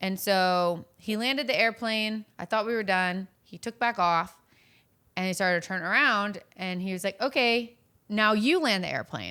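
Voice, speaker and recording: On a very clean recording with a silent background, a woman with an American accent speaks at a moderate pace in a bright, sharp tone with ordinary pitch variation. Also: medium pitch for a woman. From Virginia, US. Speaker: online content creator. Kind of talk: casual chat.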